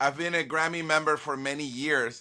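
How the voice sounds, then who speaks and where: A man with a Spanish accent, bright and sharp in tone, at a moderate pace in a very clean recording with a silent background. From Venezuela. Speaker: violinist and music producer. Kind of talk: interview. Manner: halting, many repeated words.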